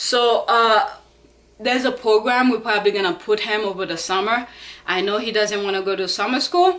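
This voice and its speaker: A woman with a non-native accent speaks at a moderate pace. Her pitch is fairly high, with ordinary variation. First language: not English. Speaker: fitness vlogger, parent. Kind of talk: casual vlog talk. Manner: halting, with fillers.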